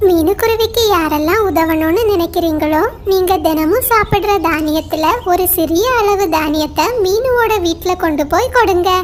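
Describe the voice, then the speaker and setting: Over clear background noise, a female-sounding voice does a cartoonish character voice at an extremely high pitch and a fairly slow pace. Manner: warm, caring.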